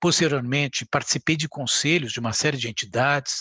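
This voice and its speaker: A man with a São Paulo accent speaks at a fairly quick pace. His pitch is fairly high, with ordinary variation. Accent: Brazilian Portuguese, São Paulo (paulistano). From Brazil, São Paulo. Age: 60s. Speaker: community leader and ophthalmologist. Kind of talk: podcast interview.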